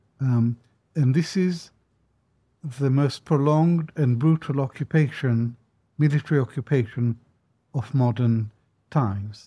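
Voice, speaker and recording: A man's somewhat breathy voice with a dark, mellow tone sits at a medium pitch with ordinary pitch variation and long, frequent pauses, in a dry, close sound with no echo. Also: fairly slow pace. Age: 70s. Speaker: historian and professor. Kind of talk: interview. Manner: hesitant, many fillers.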